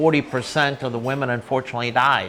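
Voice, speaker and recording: A man's voice over noticeable background noise. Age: 60s. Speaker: charity founder and restaurant owner. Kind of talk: interview. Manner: halting, many fillers.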